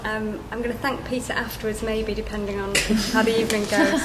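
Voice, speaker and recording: A woman's fairly high voice in a Yorkshire accent, monotone and flat, at a fairly quick pace, with audible room echo and noticeable background noise. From Yorkshire, northern England. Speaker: account director at a branding agency. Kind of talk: panel talk at a business event. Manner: halting, many fillers.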